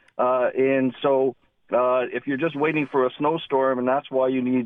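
A man's unremarkable speaking voice with a Canadian accent, medium in pitch, fairly even in intonation, at a moderate pace. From Southern Ontario, Canada. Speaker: caller with tire business experience. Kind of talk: phone-in call. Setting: phone call.

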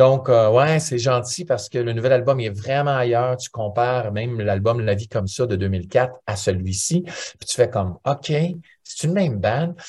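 Somewhat breathy, the voice moves at a fairly slow pace with ordinary pitch variation over a quiet background. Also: man, medium pitch for a man. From Ontario, Canada (Franco-Ontarian). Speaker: musician. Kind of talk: interview.

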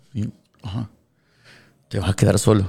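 A man's dark, mellow tone, somewhat breathy. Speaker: radio DJ. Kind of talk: casual interview. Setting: radio studio.

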